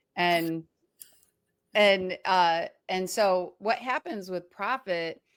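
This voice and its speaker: Recorded very cleanly with a silent background, a woman speaks in a normal speaking voice at a medium pitch with lively intonation. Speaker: podcast host and cleaning business coach. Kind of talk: casual interview chat.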